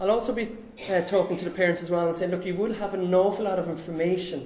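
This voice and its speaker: A man talks at a very fast pace in a high pitch. Noticeable background noise and audible room echo fill the recording. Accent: Cork. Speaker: financial planner. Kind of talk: talk to camera.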